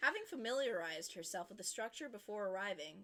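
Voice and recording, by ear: The passage is read aloud in a natural voice.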